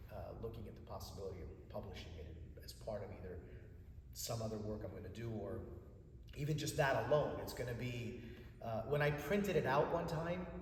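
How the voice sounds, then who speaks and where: A man talks at a fairly quick pace and medium pitch, with very wide pitch swings and long, frequent pauses. Room echo and noticeable background noise are audible. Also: big swings in loudness. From United States, Greek immigrant family. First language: Greek. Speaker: Orthodox church cantor and chant teacher. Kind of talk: interview conversation.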